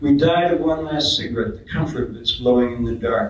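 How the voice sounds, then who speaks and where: A man talks at a fairly quick pace with ordinary pitch variation, over noticeable background noise. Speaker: slam poet. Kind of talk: spoken word poetry performance. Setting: live event.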